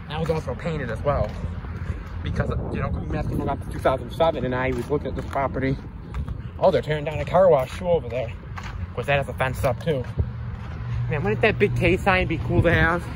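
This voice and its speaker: Noticeable background noise sits behind the recording. A man speaks at a very fast pace. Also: dry sound with no echo. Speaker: urban explorer vlogger. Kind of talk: casual vlog chat. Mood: nostalgic, chatty. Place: street. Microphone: phone near.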